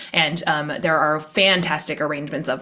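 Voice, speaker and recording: A woman speaks with a very deep, low pitch in a flat monotone. Noticeable background noise runs underneath. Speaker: high school string teacher. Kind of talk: casual interview chat. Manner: fast.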